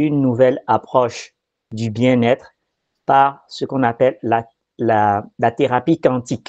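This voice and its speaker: A man speaks at a very slow pace with a medium pitch and fairly even intonation, leaving long, frequent pauses. The sound is dry and close with no echo, over a quiet background. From Benin and France. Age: 40s. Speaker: quantum therapy practitioner. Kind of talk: explanatory talk. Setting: video recording.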